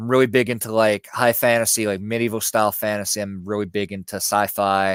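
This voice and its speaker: Dry and close with no echo, a man with a slight Southern US accent speaks in a fairly low, monotone, flat voice at a fairly quick pace. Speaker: YouTube spiritual content creator. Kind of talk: casual interview chat. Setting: live stream video call. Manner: hesitant, many fillers.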